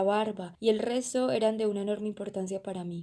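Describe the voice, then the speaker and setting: Her voice medium in pitch with a dark, mellow tone, a woman moves at a fairly quick pace in a monotone, flat intonation. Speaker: volunteer reader. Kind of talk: audiobook reading.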